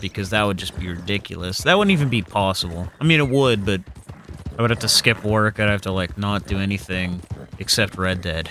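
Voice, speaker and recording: Over noticeable background noise, a man talks fairly quickly at a fairly low pitch with ordinary pitch variation. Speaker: gaming let's play creator. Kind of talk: gameplay commentary. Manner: casual, many fillers.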